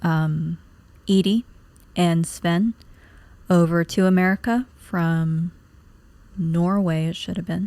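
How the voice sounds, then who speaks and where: A soft-spoken, dark, mellow voice at a very slow pace, with fairly even intonation, long, frequent pauses, and a dry, close sound with no echo. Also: woman, fairly low pitch for a woman. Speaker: gaming youtuber. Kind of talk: game playthrough commentary. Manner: calm, not giggly.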